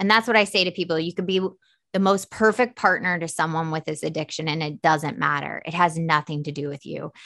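A woman speaks in a plain, everyday voice, fairly low in pitch. She talks at a fairly quick pace with ordinary pitch variation. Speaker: author and recovery mentor. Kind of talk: interview testimony. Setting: studio.

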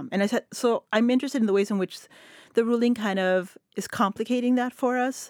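A woman with a Spanish accent, fairly high-pitched and fairly quick, her intonation fairly even, in a dry, close sound with no echo and a very clean recording with a silent background. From El Paso, West Texas. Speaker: literature professor. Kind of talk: roundtable discussion. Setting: studio.

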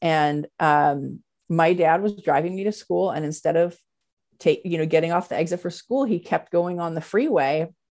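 This woman has an unremarkable speaking voice. Her pitch is fairly low, with ordinary pitch variation. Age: 40s. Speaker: CEO of a creative events and education business. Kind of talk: interview.

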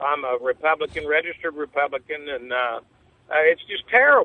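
A man with a fairly high pitch at a fairly quick pace, an ordinary speaking voice. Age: 60s. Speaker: caller, Vietnam veteran. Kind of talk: call-in talk radio. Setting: phone call.

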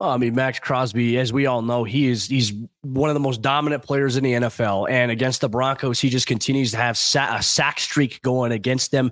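A man speaks at a moderate pace and a medium pitch, with hardly any pauses. His intonation is monotone and flat, and his loudness stays very even. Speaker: podcast host and sports reporter. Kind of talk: sports podcast discussion with ad reads.

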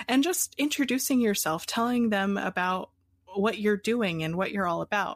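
A plain, everyday voice with an American accent and ordinary pitch variation, recorded very cleanly against a silent background with a dry, close sound and no echo. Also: woman. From Pennsylvania, US. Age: 20s. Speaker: coffee business founder. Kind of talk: interview.

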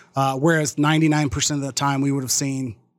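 Fairly high in pitch, a man talks at a moderate pace. His intonation is fairly even. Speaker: podcaster. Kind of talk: casual chat. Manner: laughs often.

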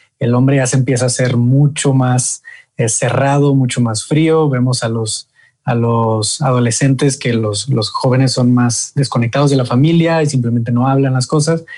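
A man's somewhat breathy voice of medium pitch, dark and mellow in tone, with monotone, flat intonation at a moderate pace. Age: 20s. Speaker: men's group leader. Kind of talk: interview.

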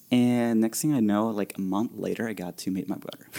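With a Spanish accent, a dark, mellow voice speaks at a moderate pace with ordinary pitch variation on a very clean recording with a silent background. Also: man. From Venezuela. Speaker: bartender. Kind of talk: casual chat. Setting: studio.

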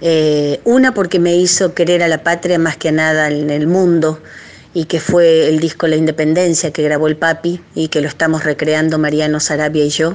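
The woman's pitch is very deep and low, with fairly even intonation. Her loudness stays very even at a moderate pace. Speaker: folk singer. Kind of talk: recorded recommendation message. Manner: casual, chatty.

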